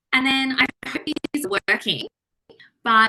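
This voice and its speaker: A bright, sharp tone with an Australian accent, at a fairly slow pace, in a dry, close sound with no echo. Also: woman. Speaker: trainee doctor presenting. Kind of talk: online lecture presentation.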